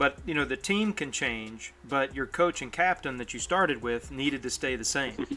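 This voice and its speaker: Speaking at a moderate pace with hardly any pauses, a man with an American accent uses lively intonation at a fairly high pitch. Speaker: streamer hosting a mobile gaming show. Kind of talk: casual live stream chat. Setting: live stream.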